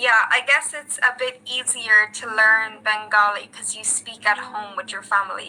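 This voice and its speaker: Amid noticeable background noise, a woman with a fairly high pitch and fairly even intonation talks at a moderate pace with hardly any pauses and big swings in loudness. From Ireland. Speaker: English tutor. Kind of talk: casual chat.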